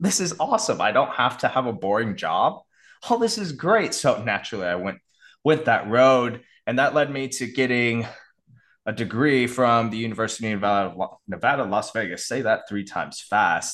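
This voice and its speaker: Over a quiet background, a man with a plain, everyday voice talks at a moderate pace with lively intonation. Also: medium pitch for a man. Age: 30s. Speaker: sleep and fitness coach. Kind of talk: interview.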